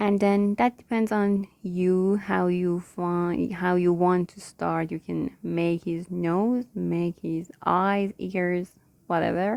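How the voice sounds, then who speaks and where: A woman with a non-native accent, fairly low in pitch, at a very slow pace with hardly any pauses. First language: not English (English is third+ language). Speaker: digital illustrator, tutorial creator. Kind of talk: tutorial. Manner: halting, searching for words.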